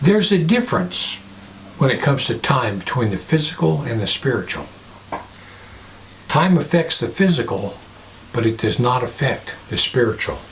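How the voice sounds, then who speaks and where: Against noticeable background noise, a man at a medium pitch speaks at a moderate pace with very wide pitch swings and long, frequent pauses. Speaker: pastor, religious video host. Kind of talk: sermon-style talk to camera.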